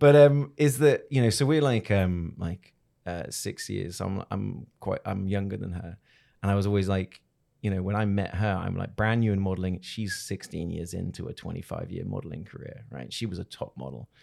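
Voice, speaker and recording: With an English accent and a fairly low pitch, a man talks at a moderate pace in a dark, mellow tone, his loudness swinging widely on a very clean recording with a silent background. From England. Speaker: video creator, former model and TV presenter. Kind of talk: interview.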